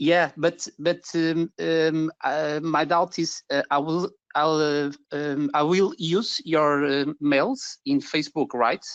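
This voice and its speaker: In a Portuguese accent, a man with a fairly high pitch talks at a very slow pace with very even loudness and fairly even intonation, the sound dry and close with no echo against a quiet background. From Portugal. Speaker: digital marketing agency owner. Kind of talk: webinar question. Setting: webinar. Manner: halting.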